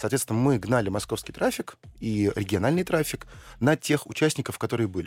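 With lively intonation and a fairly quick pace, this is an ordinary speaking voice. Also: man, medium pitch for a man. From Russia, Saint Petersburg. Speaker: investor and entrepreneur. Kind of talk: radio interview.

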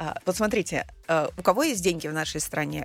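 Fairly quick, animated speech with lively intonation and vocal fry. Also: woman. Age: 40s. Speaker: personal brand coach and psychologist. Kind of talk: interview. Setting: studio.

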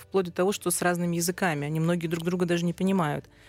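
Over music in the background, a woman talks with a fairly low pitch. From Russian Far East (Sakhalin). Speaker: food journalist and publisher. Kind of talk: casual chat. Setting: studio. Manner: animated.

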